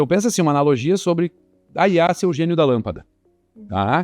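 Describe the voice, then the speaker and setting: Against a quiet background, a man talks at a fairly quick pace with lively intonation and a dry, close sound with no echo. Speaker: guest panelist with sales background. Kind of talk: podcast panel discussion. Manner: fast.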